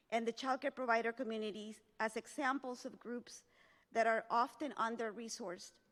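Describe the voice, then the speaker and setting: Speaking in a Spanish accent, a woman uses a high pitch, fairly even intonation and a moderate pace. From El Salvador. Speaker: community leader, keynote speaker. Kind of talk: formal speech. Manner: formal.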